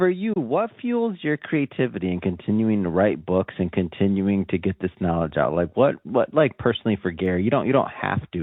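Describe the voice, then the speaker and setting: At a fairly quick pace, a man with a normal speaking voice uses a fairly low pitch and lively intonation. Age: young. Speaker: podcast host. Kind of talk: interview. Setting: remote call.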